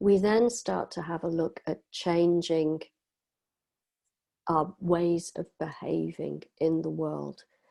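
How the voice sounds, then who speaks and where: Long, frequent pauses break up a woman's speech. Her delivery is very slow. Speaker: divorce coach. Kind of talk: talk.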